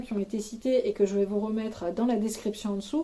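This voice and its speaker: Speaking at a fairly quick pace, a woman has a fairly high, dark and mellow voice with ordinary pitch variation. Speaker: YouTuber giving housing advice. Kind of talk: advice vlog to camera. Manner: relaxed, looser than usual, many hesitations.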